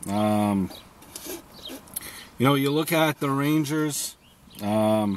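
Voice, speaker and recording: Amid noticeable background noise, a man talks very slowly at a fairly high pitch with ordinary pitch variation, leaving long, frequent pauses. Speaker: sports commentator. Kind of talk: solo sports preview monologue. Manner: halting, many fillers; off the cuff, unscripted.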